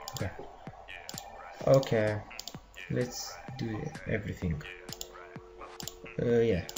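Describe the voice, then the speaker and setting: A non-native accent with music in the background. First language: not English. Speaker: programming tutorial maker. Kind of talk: tutorial. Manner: halting, many fillers. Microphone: laptop microphone, poor quality.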